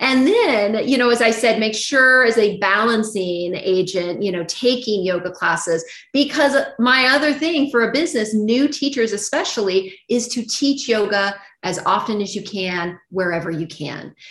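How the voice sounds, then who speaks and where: Using an unremarkable speaking voice, a woman speaks at a fairly high pitch with an American accent. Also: lively intonation, moderate pace. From Arizona, US. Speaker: yoga teacher trainer. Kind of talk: interview.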